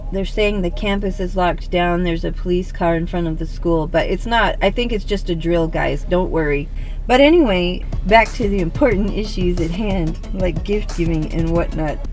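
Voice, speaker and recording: A woman's voice sounds dry with no echo, with faint music in the background. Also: ordinary pitch variation, moderate pace. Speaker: vlogger. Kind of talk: casual vlog chat. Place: car. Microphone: phone near.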